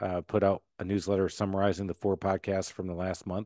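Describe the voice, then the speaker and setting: A fairly low-pitched man at a fairly quick pace, in a dry, close sound with no echo and a quiet background. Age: 50s. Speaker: entrepreneur and podcast host. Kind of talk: interview conversation. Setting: podcast interview. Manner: fast; animated.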